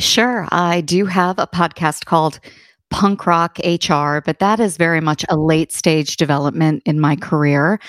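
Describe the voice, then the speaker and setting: With an American accent, a woman uses a normal speaking voice at a fairly low pitch, ordinary pitch variation and very even loudness, in a dry, close sound with no echo on a very clean recording with a silent background. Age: 40s. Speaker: HR consultant and author. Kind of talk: interview.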